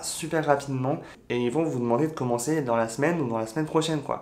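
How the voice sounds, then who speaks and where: Here is an ordinary speaking voice, a man's, fairly high in pitch. He talks at a fairly quick pace with ordinary pitch variation. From France. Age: 20s. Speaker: YouTuber sharing expat advice. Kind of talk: vlog advice talk. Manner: casual, with frequent fillers.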